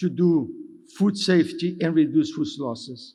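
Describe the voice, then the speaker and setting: Speaking with a Brazilian accent, a man has a high pitch, a dark, mellow tone and a fairly slow pace. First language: Portuguese. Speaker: development finance executive. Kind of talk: conference speech. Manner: halting, with self-corrections.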